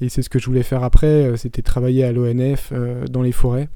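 This man's voice has a dark, mellow tone. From France, Paris region countryside. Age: 30s. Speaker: podcast host, digital nomad entrepreneur. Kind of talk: casual Q&A monologue. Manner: hesitant, many fillers.

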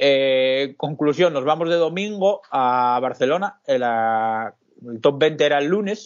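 A man with a fairly high voice speaks very slowly, with ordinary pitch variation and hardly any pauses. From Asturias, Spain (Pola de Siero). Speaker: bar manager and co-owner. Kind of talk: casual interview. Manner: hesitant, with repetitions.

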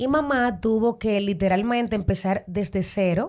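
Here a woman speaks at a moderate pace. Her medium-pitched voice has a dark, mellow tone. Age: 30s. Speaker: model. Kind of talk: interview. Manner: animated.

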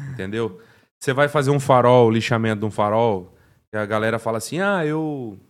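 A man talks at a fairly quick pace in a normal speaking voice. His medium pitch shows ordinary pitch variation. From Paraná, Brazil (Cambé). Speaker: car detailer. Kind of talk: casual interview.

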